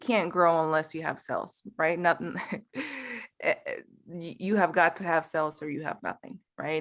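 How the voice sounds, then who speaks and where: A woman with a Spanish accent, fairly low in pitch, at a moderate pace. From Mexico City, Mexico. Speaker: company founder. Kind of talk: podcast interview. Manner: conversational, with repetitions and fillers.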